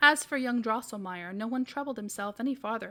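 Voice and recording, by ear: Natural-voiced reading aloud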